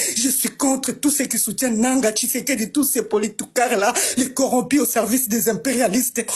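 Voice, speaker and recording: The speaker sounds animated and talks at a moderate pace over noticeable background noise. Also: woman. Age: 30s. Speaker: war victim speaking on a panel. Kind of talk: impassioned testimony. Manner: emotional, animated.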